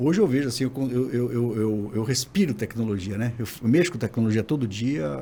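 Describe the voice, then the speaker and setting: A man races through his words at a very fast pace amid noticeable background noise. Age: 60s. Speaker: digital scientist, former professor. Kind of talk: podcast interview.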